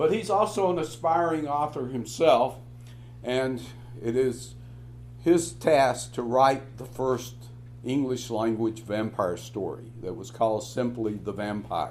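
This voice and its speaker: Speaking at a fairly slow pace, a man is heard with audible echo from the room. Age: 70s. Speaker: professor. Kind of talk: lecture. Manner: halting, many filler words.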